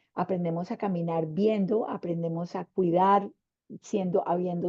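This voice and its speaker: Delivered in a plain, everyday voice, the speech moves at a fairly slow pace with fairly even intonation. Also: woman. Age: 60s. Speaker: panelist, women's leadership mentor. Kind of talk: panel discussion.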